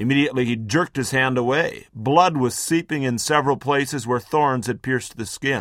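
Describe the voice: The clip features plain reading aloud.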